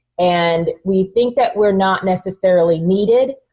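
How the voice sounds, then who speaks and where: A woman with an American accent and a somewhat breathy voice speaks at medium pitch with lively intonation. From US South, North Texas. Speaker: author and entrepreneur. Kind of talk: interview conversation. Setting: podcast.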